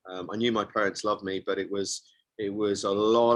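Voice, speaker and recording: This man's fairly low voice stays in a flat monotone at a moderate pace. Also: very clean recording, silent background. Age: 60s. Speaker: men's coach and author. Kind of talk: interview. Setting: radio show.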